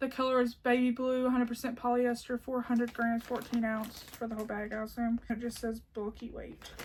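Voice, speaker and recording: A woman with an American accent talks at a fairly quick pace in a high voice, hardly pausing, over noticeable background noise. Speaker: crochet YouTuber. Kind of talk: haul video, casual chat to camera. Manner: animated.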